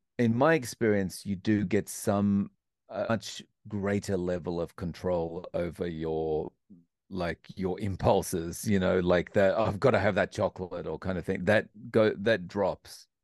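Fairly slow speech from a man with an Australian accent, fairly low in pitch with ordinary pitch variation, in a dry, close sound with no echo and a quiet background. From Australia, Melbourne. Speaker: English teacher and YouTube interviewer. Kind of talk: interview conversation. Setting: remote call across time zones.

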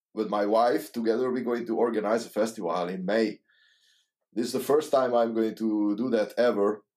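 With a Hungarian accent, the speaker keeps a moderate pace and fairly even intonation in a very clean recording with a silent background. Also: man. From Hungary. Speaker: saxophonist and composer. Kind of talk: casual interview. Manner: halting.

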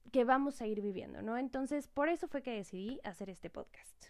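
A woman speaks with a Mexican accent at a high pitch, her tone dark and mellow. Her pitch varies in an ordinary way. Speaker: entrepreneur podcast host. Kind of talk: solo podcast monologue.

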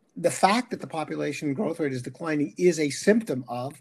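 A man with a plain, everyday voice talks fairly quickly at a fairly high pitch. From Canada. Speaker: economics professor. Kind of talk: interview.

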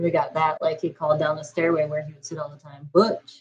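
Somewhat breathy, a woman talks fairly quickly in a very deep, low pitch with monotone, flat intonation. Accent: American. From Iowa. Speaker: paranormal investigator and web series creator. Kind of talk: casual interview chat.

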